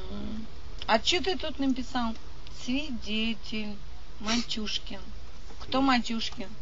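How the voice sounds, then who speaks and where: Very slow speech from a woman, amid noticeable background noise. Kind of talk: argumentative rant with crude swearing. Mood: agitated, defiant. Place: car.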